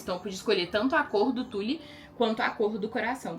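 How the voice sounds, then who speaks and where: With an animated tone and ordinary pitch variation, a woman speaks at a fairly quick pace amid noticeable background noise. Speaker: lingerie designer and brand owner. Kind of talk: casual vlog. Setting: at home in closet. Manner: fast.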